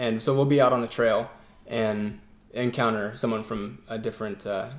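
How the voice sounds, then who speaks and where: A plain, everyday voice delivers the words at a moderate speed. Its intonation rises and falls only a little. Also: man, medium pitch for a man. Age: 20s. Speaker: off-road motorcyclist. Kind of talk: interview testimony.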